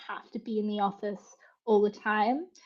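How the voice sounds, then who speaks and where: Somewhat breathy and fairly high-pitched, a woman talks in an Australian accent. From Western Australia. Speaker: conversion rate optimisation consultant. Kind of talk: casual chat.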